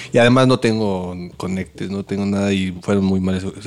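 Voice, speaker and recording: A man with a Mexican accent speaks at a fairly low pitch in a monotone, flat intonation, on a very clean recording with a silent background. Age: 40s. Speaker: restaurant owner and former video director. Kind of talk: casual interview. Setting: in his restaurant.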